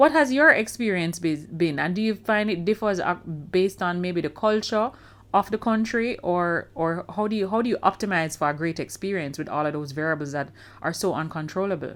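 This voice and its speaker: On a very clean recording with a silent background, a woman with a Caribbean accent talks at a medium pitch and a fairly quick pace. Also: lively intonation. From Jamaica. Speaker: podcast host. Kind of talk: podcast interview.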